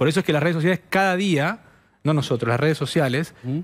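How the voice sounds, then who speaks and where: Very fast talking from a man with a fairly high pitch. His intonation is lively. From Argentina. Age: 40s. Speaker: political digital strategist; guest. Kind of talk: TV interview; TV panel debate answer. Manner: halting, many repetitions. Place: studio. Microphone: headset.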